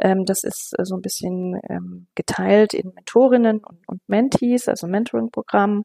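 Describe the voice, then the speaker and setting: With big swings in loudness, a woman talks at a fairly slow pace in a dry, close sound with no echo. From West Germany. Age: 50s. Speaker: city councillor and teacher. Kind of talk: interview. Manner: hesitant, many fillers.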